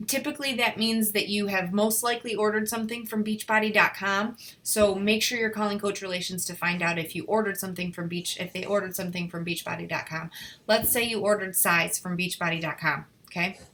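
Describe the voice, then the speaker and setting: A woman's bright, sharp, medium-pitched voice with ordinary pitch variation at a very fast pace. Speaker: fitness coach. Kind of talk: team training call. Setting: conference call.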